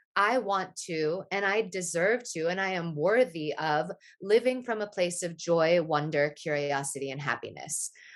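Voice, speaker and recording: A woman with an American accent in an ordinary speaking voice, fairly low in pitch with lively intonation, at a moderate pace with hardly any pauses, against a quiet background. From upstate New York. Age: 40s. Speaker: retreat leader and olive oil business owner. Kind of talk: casual chat.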